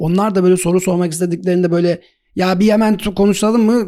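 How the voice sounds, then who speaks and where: At a fairly quick pace, a man is talking. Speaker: podcast host. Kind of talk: casual interview. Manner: fast, stumbling.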